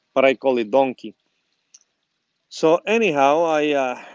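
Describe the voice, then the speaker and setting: At a fairly slow pace with long, frequent pauses, a man with a Spanish accent talks at a fairly high pitch with lively intonation, in a dry, close sound with no echo. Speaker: gardening YouTuber. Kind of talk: casual how-to video. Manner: halting, many fillers.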